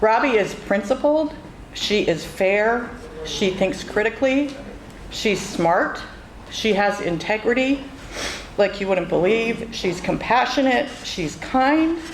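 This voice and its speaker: Amid noticeable background noise and audible room echo, a woman with a fairly high voice speaks very slowly in a lively intonation. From western Massachusetts, Northampton. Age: 60s. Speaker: campaign supporter. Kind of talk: public speech.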